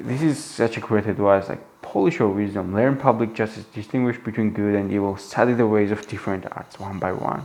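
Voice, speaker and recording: Noticeable background noise surrounds a man with a non-native accent. His fairly low voice moves at a fairly quick pace with ordinary pitch variation. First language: not English. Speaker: book reviewer. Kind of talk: book commentary monologue. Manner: halting, many fillers and restarts; animated.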